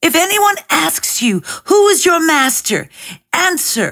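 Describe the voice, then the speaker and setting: A woman's put-on character voice, extremely high in pitch, at a fairly slow pace. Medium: read story. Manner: sly, confident.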